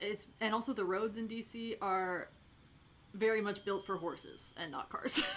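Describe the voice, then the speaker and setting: A woman with an American accent speaks at a fairly slow pace. Her pitch is fairly high and her intonation fairly even. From Minnesota, US Midwest. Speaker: streamer. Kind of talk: casual chat. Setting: live stream. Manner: halting, many fillers.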